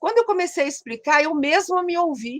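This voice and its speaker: Her pace is moderate. This woman's voice sounds dry and close, with no echo. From Brazil, Minas Gerais (Caratinga). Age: 70s. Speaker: psychologist. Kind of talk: interview. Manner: halting.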